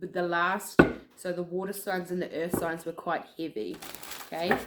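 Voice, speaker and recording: Moderate pace over noticeable background noise. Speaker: tarot card reader. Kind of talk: collective tarot reading. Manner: casual, filler-heavy.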